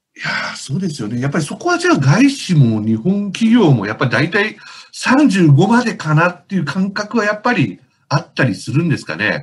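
A man with a high pitch and very wide pitch swings, at a moderate pace. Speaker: book editor co-host. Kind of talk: casual interview.

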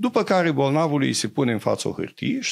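Against a quiet background, a man with a fairly high pitch and vocal fry swings his pitch very widely. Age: 70s. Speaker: doctor; interview guest. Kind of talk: interview; interview answer. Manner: hesitant, many fillers. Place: studio. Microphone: studio mic.

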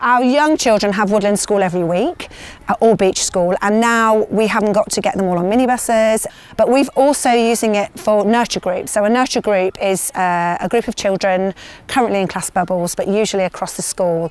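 The voice moves at a fairly quick pace with ordinary pitch variation, and the sound is dry with no echo. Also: woman. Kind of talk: interview answer. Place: open country.

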